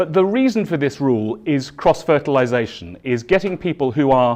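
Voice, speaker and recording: With a southern English accent, a man speaks at a fairly quick pace. His pitch is fairly high and his intonation lively. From southern England, East Sussex. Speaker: keynote speaker. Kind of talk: conference keynote. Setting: stage with audience. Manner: loud.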